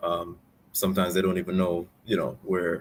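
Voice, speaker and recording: A man talks with a Jamaican accent. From Jamaica, Spanish Town. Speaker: lawyer. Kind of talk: interview. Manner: hesitant, many repetitions.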